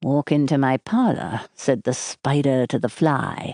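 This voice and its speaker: A put-on character voice at a low-to-middle pitch moves along at a fairly slow pace. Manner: low voice.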